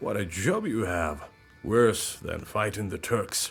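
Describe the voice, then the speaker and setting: Faint music plays in the background as a man uses a put-on character voice, fairly low in pitch, at a fairly slow pace. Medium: video game.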